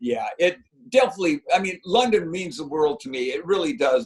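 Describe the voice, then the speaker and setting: A man's high voice at a moderate pace, with very wide pitch swings. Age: 60s. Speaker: retired marathon runner. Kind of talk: interview. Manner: animated.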